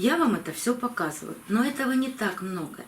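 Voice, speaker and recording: Her fairly high pitch carries lively intonation as the woman speaks. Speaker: orchid-care video blogger. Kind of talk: tutorial. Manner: slow.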